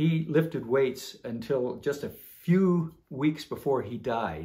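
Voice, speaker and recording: A man's somewhat breathy voice, lively in intonation, at a fairly slow pace. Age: 70s. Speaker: homesteader and trainer. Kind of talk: casual instructional talk.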